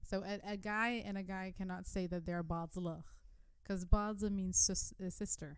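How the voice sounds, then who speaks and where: At a moderate pace, a woman speaks in a flat, monotone way. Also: medium pitch for a woman. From Denmark, Iraqi Turkmen family. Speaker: podcast host. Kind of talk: casual chat.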